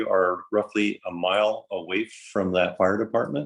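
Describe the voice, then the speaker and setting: The speaker here is a man. Behind him, things are quiet. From Colorado. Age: 60s. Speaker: farmer, public commenter. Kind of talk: public comment testimony. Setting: virtual meeting. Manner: halting, with fillers.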